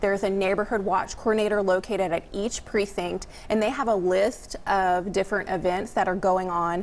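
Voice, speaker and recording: With hardly any pauses, a woman keeps a moderate pace, very even loudness and fairly even intonation. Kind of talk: interview answer. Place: studio.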